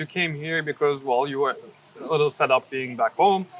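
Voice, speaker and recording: Noticeable background noise behind a man in a Turkish accent, fairly high-pitched, very fast, with ordinary pitch variation. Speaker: YouTuber, interviewer. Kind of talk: interview. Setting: outdoors.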